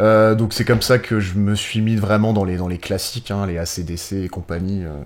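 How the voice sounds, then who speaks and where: A man with a plain, everyday voice, fairly low pitch, fairly even intonation and a moderate pace. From northern France, Pas-de-Calais near Cambrai. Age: 30s. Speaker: music booker and festival organizer, drummer. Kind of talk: podcast interview.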